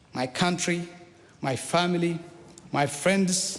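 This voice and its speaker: Recorded with audible room echo and noticeable background noise, a man with an Eritrean accent talks at a high pitch. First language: Saho. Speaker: politician. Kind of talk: formal speech. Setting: parliament chamber.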